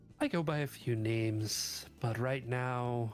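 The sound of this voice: A put-on character voice sounds robotic, with fairly even intonation at a fairly slow pace. Music plays in the background. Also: man, medium pitch for a man.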